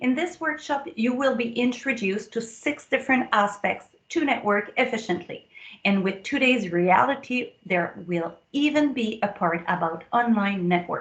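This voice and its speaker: A woman speaks with a French accent at a fairly high pitch. Her tone is enthusiastic and her intonation lively. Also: moderate pace. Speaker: productivity coach and speaker. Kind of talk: conference promo video address.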